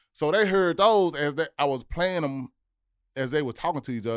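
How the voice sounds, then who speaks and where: At a moderate pace, a man talks in an American accent on a very clean recording with a silent background. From Memphis, Tennessee, US South. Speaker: rapper and producer. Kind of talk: podcast interview.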